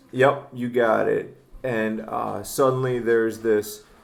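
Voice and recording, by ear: A natural read-aloud voice with fairly even intonation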